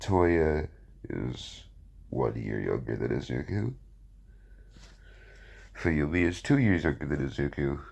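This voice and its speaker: Very deep and low in pitch, a man talks at a fairly slow pace with vocal fry, lively intonation and long, frequent pauses. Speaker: fan fiction narrator. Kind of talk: casual talk to camera.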